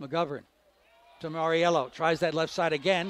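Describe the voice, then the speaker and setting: Amid noticeable background noise, a man speaks in a high voice with a dry sound and no echo. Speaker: radio play-by-play announcer. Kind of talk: live sports commentary. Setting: stadium broadcast booth.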